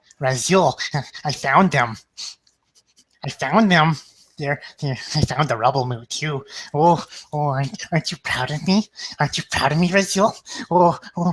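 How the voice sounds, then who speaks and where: In a whispering, put-on character voice broken by cackling, the speaker moves at a moderate pace with long, frequent pauses. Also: man. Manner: whispering, eager, cackly.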